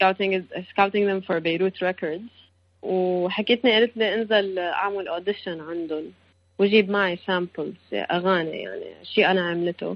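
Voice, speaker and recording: Medium-pitched and fairly even in intonation, an ordinary speaking voice from a woman at a moderate pace. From Lebanon. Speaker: singer-songwriter. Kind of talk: interview.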